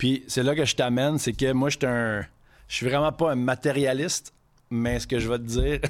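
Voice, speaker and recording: A man speaks in an ordinary speaking voice at medium pitch and a moderate pace. His intonation is fairly even, in a very clean recording with a silent background. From Quebec City. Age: 30s. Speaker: chef. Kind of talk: casual chat.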